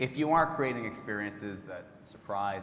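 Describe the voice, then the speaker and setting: A man with a Canadian accent talks at a fairly quick pace and fairly low pitch, with audible room echo and noticeable background noise. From Canada. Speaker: tech industry executive. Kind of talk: conference presentation.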